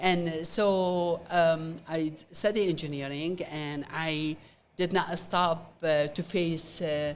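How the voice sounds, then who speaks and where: This woman talks at a very slow pace in an Iraqi accent. Her fairly low pitch stays monotone, with flat intonation. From Iraq, Baghdad. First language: Arabic. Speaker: nonprofit founder, former engineer. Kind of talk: interview. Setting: event venue, gala. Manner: halting.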